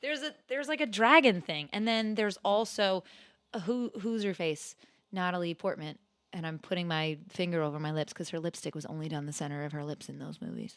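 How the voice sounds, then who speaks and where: The intonation is lively and the pace fairly quick. The recording is very clean with a silent background. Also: woman, fairly low pitch for a woman. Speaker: podcast co-host. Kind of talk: casual chat. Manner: animated.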